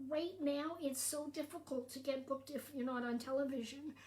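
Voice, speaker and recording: A woman speaks with a Canadian accent. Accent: generic Canadian. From Canada. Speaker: stand-up comedian. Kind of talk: casual livestream chat. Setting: social media livestream.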